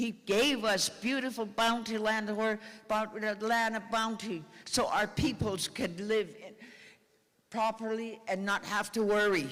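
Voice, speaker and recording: A man's high-pitched voice at a fairly slow pace, with fairly even intonation and very even loudness. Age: 80s+. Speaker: First Nations elder. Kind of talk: speech at a treaty gathering. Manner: impassioned.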